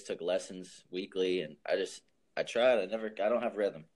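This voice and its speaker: A moderate pace in an American accent. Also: man. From US South, New Orleans. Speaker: music artist manager. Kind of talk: casual chat.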